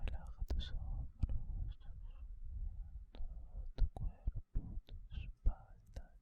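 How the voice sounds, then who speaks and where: A man whispering at a very slow pace. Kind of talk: ASMR relaxation session for sleep. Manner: whispered, soft-spoken, slow.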